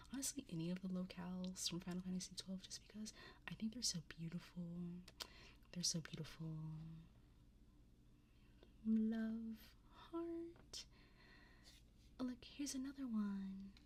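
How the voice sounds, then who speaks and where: A somewhat breathy woman's voice at a fairly slow pace, with ordinary pitch variation and long, frequent pauses. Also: medium pitch for a woman. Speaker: vtuber, livestreamer. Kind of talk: casual livestream talk about card opening.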